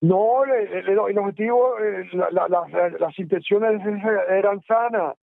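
Speaking very slowly at a high pitch, a man keeps his loudness very even, with ordinary pitch variation. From Dominican Republic. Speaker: former guerrilla fighter. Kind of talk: oral history interview. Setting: phone call. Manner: halting.

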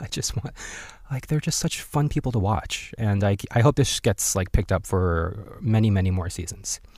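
A man with a fairly low, somewhat breathy voice, lively intonation and a moderate pace. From born in Korea, raised overseas. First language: Korean. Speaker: podcast host. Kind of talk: casual solo commentary.

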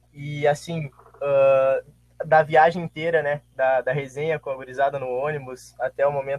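A man talks in a fairly high pitch. His voice is somewhat breathy. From Santa Maria, Rio Grande do Sul, Brazil. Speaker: former student athlete. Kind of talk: casual chat.

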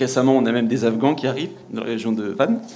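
Noticeable background noise sits behind a man at medium pitch. He talks at a fairly quick pace. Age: young. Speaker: audience member. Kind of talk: audience question.

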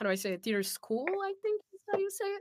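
A woman's bright, sharp voice with a Brazilian accent and very wide pitch swings, dry and close with no echo. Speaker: voice actor. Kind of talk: casual chat.

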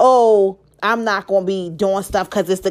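A woman with an American accent talks in an animated tone. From Baltimore, Maryland. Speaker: podcast host. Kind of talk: solo motivational monologue.

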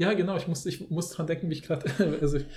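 Speaking at a very fast pace, a man with a fairly high, dark, mellow voice keeps his intonation fairly even. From Germany, Polish family background. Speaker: linguist, podcast co-host. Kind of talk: casual chat.

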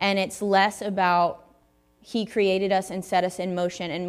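A woman speaks with a Southern US accent at a medium pitch. Her intonation stays flat and monotone. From US South, Tennessee. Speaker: guest preacher. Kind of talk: sermon. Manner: casual, conversational.

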